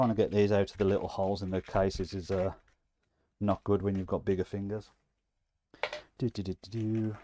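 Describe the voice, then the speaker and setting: Fairly low in pitch, this man's voice has a dark, mellow tone and a monotone, flat intonation, moving at a fairly quick pace broken by long, frequent pauses. The sound is dry and close, with no echo. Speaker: maker YouTuber reviewing CNC machines. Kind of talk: live stream tutorial. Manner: casual, frequent ums.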